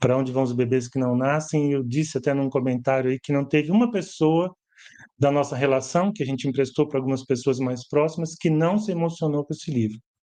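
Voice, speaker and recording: Against a quiet background, a man with a dark, mellow tone talks at a fairly quick pace and fairly high pitch. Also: ordinary pitch variation. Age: 60s. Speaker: educator and author. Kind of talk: live stream book launch presentation. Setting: live stream from home. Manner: conversational, hesitant.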